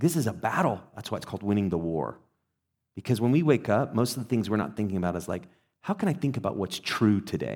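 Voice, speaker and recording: Intonation is lively. The man talks very fast. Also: fairly low pitch for a man, very clean recording, silent background. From England. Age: 40s. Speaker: pastor. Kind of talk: sermon. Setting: church. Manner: conversational, with filler hesitations.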